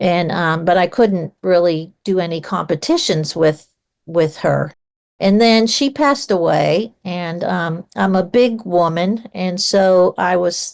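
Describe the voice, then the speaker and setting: A woman speaks at a very slow pace. Her pitch sits in the medium range and shows ordinary variation. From Pittsburgh, US. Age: 60s. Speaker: retired mechanical designer and novelist. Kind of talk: interview conversation. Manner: hesitant, many fillers.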